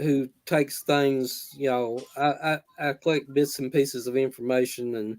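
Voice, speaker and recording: A man speaks with a Southern US accent at a fairly slow pace. His pitch sits fairly high. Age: 60s. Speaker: horror author. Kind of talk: live author interview. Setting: live video stream. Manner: halting, many fillers.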